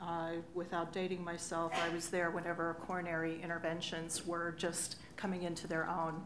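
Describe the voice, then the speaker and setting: Amid noticeable background noise, a woman with a fairly low voice speaks at a moderate pace. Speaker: medtech business economics executive, former nurse. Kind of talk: conference panel discussion. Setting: stage with audience. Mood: relaxed, reminiscing. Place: hall. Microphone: podium.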